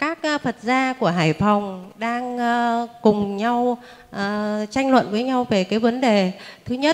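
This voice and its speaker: A woman with a fairly high pitch talks at a very slow pace, leaving long, frequent pauses. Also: ordinary pitch variation. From northern Vietnam. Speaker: representative of a meditation group. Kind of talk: formal questions to teacher. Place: hall. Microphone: handheld.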